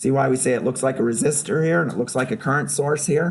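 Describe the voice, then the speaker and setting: There is audible room echo as a man with a fairly high, somewhat breathy voice talks at a moderate pace with lively intonation. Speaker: professor. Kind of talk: lecture. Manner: conversational, interactive.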